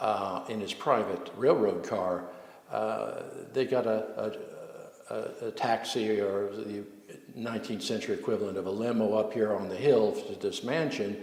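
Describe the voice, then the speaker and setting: With an American accent, a man talks at a moderate pace in a fairly low pitch for a man, with audible room echo and noticeable background noise. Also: fairly even intonation. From US South, New Orleans. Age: 70s. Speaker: local historian. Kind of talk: storytelling interview. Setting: inside a historic mansion. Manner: halting, many fillers.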